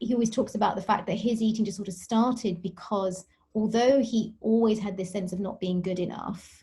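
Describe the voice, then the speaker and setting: A woman with a British accent speaks at a fairly quick pace at medium pitch, her tone dark and mellow and somewhat breathy. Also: fairly even intonation. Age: 40s. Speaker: dietitian and sports nutritionist. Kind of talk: podcast interview.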